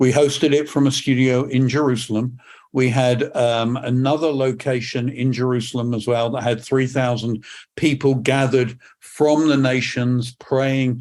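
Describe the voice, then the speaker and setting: A man speaks with a British accent in a monotone, flat intonation. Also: medium pitch for a man, moderate pace. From England. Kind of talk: podcast interview.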